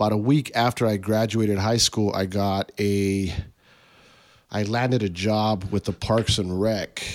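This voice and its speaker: With an American accent, a man has an ordinary speaking voice at a fairly low pitch, talking fairly slowly with fairly even intonation. The recording is very clean, the background silent. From Tucson, Arizona (west side). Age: 30s. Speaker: artist and clothing designer. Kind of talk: casual interview chat.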